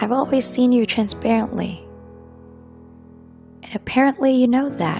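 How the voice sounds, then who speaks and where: With music in the background, a woman speaks at a moderate pace, leaving long, frequent pauses. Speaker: spoken word poet. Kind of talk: spoken word poetry performance. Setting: over background piano music.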